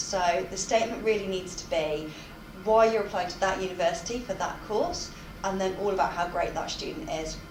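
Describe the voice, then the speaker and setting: Through noticeable background noise and audible room echo, a woman talks at a very fast pace with ordinary pitch variation. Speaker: university employability tutor. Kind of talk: interview monologue. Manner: loud.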